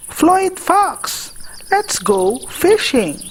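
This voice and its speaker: Putting on a character voice, a woman speaks at an extremely high pitch. The sound is squeaky. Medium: read story.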